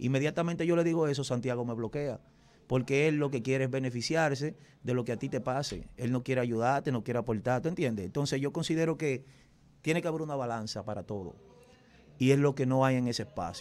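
A very fast pace with ordinary pitch variation. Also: man. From Dominican Republic. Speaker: radio and TV host specializing in typical music; radio, TV host specializing in typical music. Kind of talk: casual interview. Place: studio. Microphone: studio mic.

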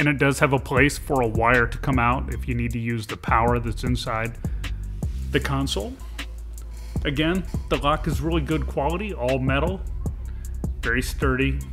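Clear music plays behind speech at a moderate pace with long, frequent pauses. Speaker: truck owner reviewing a product. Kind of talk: tutorial. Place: car.

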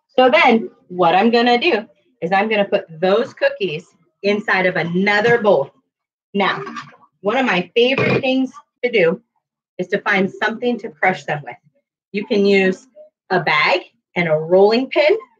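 A woman speaks at a moderate pace with long, frequent pauses. The background is quiet. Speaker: cooking teacher for children. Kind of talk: tutorial. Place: kitchen. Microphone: webcam.

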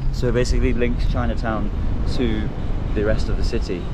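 Loud background noise surrounds a man whose sound is dry with no echo. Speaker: travel vlogger. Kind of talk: casual vlog chat. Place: car. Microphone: phone near.

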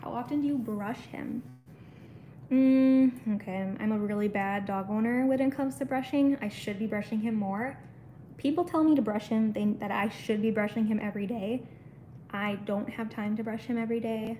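A dark, mellow, somewhat breathy voice at a moderate pace over light background noise. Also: woman, fairly high pitch for a woman, ordinary pitch variation. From US Midwest. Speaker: pet YouTuber. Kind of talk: casual livestream chat. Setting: home livestream. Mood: relaxed, chatty. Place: home room. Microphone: phone near.

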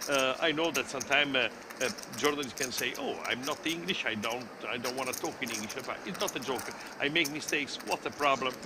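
In an Italian accent, a man with a fairly high pitch and ordinary pitch variation speaks at a very fast pace over noticeable background noise. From Italy. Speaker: poker commentator. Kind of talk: live commentary. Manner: halting.

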